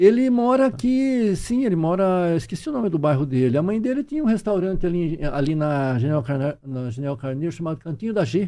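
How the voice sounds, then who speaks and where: A man talks at a fairly quick pace with hardly any pauses, his pitch high for a man and swinging very widely. His tone is dark and mellow, and the background is quiet. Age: 60s. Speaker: UFO researcher, professor. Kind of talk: podcast interview. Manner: halting, repetitive.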